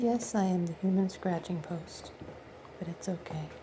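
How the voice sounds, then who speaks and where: Amid noticeable background noise, a soft-spoken woman talks at a fairly low pitch. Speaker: pet owner filming kittens. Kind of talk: casual home video narration.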